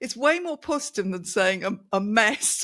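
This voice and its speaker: A woman's fairly high voice, an ordinary speaking voice, with lively intonation at a moderate pace. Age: 60s. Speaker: communication coach. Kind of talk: casual chat.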